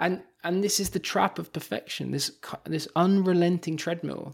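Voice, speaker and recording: The background is silent on this very clean recording. A man talks at a fairly high pitch. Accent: London. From London, England. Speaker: professor and author. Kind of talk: interview conversation. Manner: hesitant, fillers.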